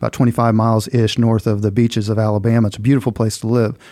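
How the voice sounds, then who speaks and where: In a Southern Midland US accent, a man talks very fast in a dark, mellow voice of medium pitch. His intonation is monotone and flat, and the recording is very clean with a silent background. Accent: rural southern Midland US. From US Midwest, southeast Missouri. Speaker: financial planner. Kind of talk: podcast interview. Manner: casual, conversational.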